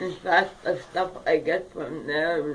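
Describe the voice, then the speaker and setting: Speaking at a very slow pace, a woman uses a fairly low pitch and fairly even intonation. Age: 70s. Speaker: low-income street vendor and activist. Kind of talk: interview. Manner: halting.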